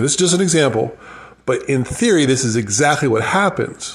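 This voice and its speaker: A man's fairly high voice swings very widely in pitch and comes out somewhat breathy. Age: 50s. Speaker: financial advisor. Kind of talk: casual solo podcast monologue. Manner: rambling, conversational.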